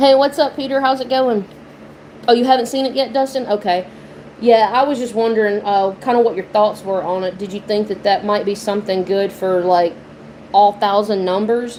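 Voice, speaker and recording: A slight Southern US accent with ordinary pitch variation, over noticeable background noise. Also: woman, fairly high pitch for a woman, moderate pace. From Mississippi, US South. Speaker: lottery YouTuber. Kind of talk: casual live-stream chat. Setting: live stream. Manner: casual, filler-heavy.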